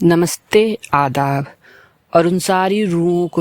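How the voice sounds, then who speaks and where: The speaker is male. Everything sounds close and dry, without any echo. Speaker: talk show host. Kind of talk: late-night soulful talk show. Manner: slow, reflective.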